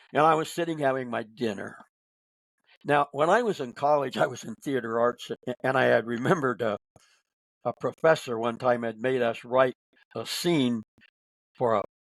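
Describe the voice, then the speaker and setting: A man with a Midwestern American accent, medium-pitched with ordinary pitch variation, at a moderate pace, in a dry, close sound with no echo. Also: long, frequent pauses. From Northern Indiana. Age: 80s+. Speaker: author and speaker. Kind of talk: podcast interview answer.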